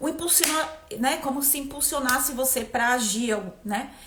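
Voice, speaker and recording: A woman speaks fairly slowly with ordinary pitch variation. Noticeable background noise and audible room echo are present. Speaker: energy therapist. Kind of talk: live stream talk.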